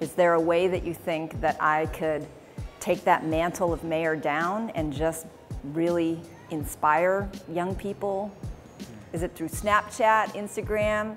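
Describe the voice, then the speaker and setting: Over music in the background, a woman with an American accent speaks at a fairly low pitch and fairly slow pace, with ordinary pitch variation. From Oakland, California. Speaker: city mayor. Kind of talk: interview conversation.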